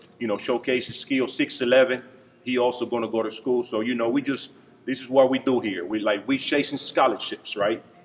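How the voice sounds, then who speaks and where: Medium-pitched man at a fairly quick pace, over noticeable background noise. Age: 30s. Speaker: basketball coach. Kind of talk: banquet speech. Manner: animated.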